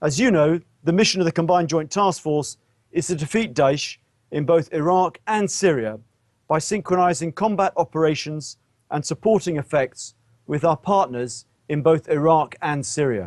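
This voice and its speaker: A man with a British accent speaks at a moderate pace in a fairly high voice. The sound is dry and close, with no echo. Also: ordinary pitch variation. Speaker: military officer. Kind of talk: press briefing. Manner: formal.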